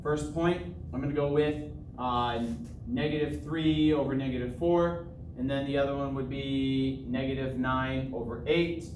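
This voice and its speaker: At a moderate pace, a man with a fairly high pitch and ordinary pitch variation talks amid noticeable background noise and audible room echo. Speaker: math teacher. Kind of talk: tutorial.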